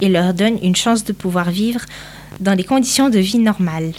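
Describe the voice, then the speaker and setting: A woman's plain, everyday voice at a medium pitch and moderate pace, with ordinary pitch variation. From northern Portugal. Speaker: interviewee, immigrant. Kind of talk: interview answers.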